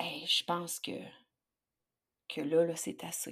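At a fairly slow pace, a woman speaks in a fairly low voice. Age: 40s. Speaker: leadership coach. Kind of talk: interview.

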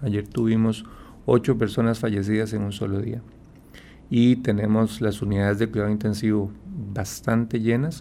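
A man's fairly low, dark, mellow voice, monotone with flat intonation, at a moderate pace broken by long, frequent pauses. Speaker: endocrinologist doctor. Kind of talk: radio health interview.

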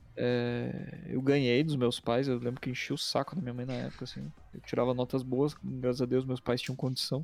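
Over music in the background, a man talks at a moderate pace with fairly even intonation. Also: medium pitch for a man, hardly any pauses. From Curitiba, southern Brazil. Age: 30s. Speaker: video editor and motion designer, former pro gamer. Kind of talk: casual interview chat. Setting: livestream.

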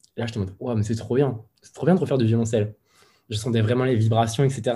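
A man with a dark, mellow, somewhat breathy tone talks very fast at a medium pitch. His intonation stays fairly even, broken by long, frequent pauses. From central France, Moulins (Allier). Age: 20s. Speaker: cellist. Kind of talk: casual interview.

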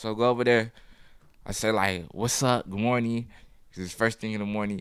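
Over a silent background in a very clean recording, a man speaks at a fairly quick pace and medium pitch with fairly even intonation, in a plain, everyday voice. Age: 20s. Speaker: photographer. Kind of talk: casual chat.

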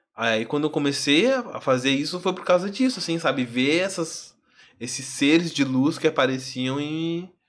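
On a very clean recording with a silent background, a man with a plain, everyday voice speaks at a moderate pace in a fairly high pitch with lively intonation. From Alvorada, greater Porto Alegre, southern Brazil. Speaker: singer and artist. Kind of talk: casual interview chat.

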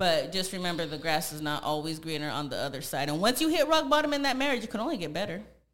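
A woman's very fast speech in an American accent, with hardly any pauses, very wide pitch swings and audible room echo. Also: fairly low pitch for a woman. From San Jose, California. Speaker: body contouring business owner. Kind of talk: casual interview chat.

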